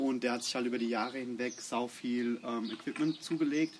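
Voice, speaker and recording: Noticeable background noise fills the clip. A man is the one talking. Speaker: bass player in a metal band. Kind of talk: casual interview. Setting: outdoors in a garden.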